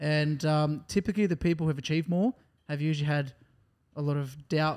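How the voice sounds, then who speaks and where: With an Australian accent, a man with a fairly high pitch talks at a very fast pace in a very clean recording with a silent background. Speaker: podcast co-host. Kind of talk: casual chat.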